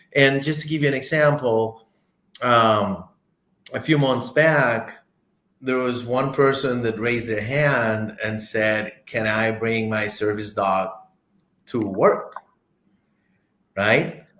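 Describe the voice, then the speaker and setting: Speaking very slowly with long, frequent pauses, a man with a medium pitch and ordinary pitch variation has a bright, sharp tone, and room echo is audible. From Costa Rica. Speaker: corporate director. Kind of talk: interview conversation. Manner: halting, many repetitions.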